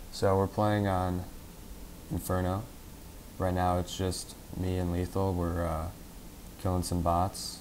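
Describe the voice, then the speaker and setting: A man speaks with a very deep, low pitch at a moderate pace. His intonation stays monotone and flat. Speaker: gamer. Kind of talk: gameplay tutorial commentary.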